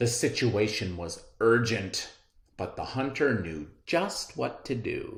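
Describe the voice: Lively intonation runs through this plain reading aloud.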